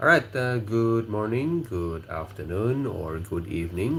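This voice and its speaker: In an Indonesian accent, a man talks at a fairly slow pace with a fairly low pitch and very wide pitch swings, and audible room echo surrounds him. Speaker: livestream host. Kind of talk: casual livestream chat.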